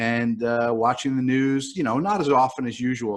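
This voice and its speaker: A man with a New York accent talks at a very fast pace. The sound is dry and close with no echo, over a quiet background. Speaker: writer. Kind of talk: casual chat. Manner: halting, many fillers.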